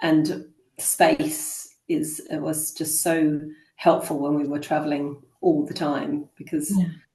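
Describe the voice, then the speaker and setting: Very slowly and in a calm, flat monotone, a woman speaks with a very deep, low voice. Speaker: homeschooling mother and traveler. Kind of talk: interview answer. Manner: calm, grounded.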